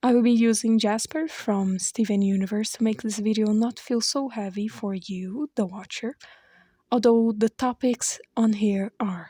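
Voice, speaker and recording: The speaker has a non-native accent and a fairly slow pace. The recording is very clean, with a silent background. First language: not English. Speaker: YouTube commentary creator. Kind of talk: scripted commentary narration.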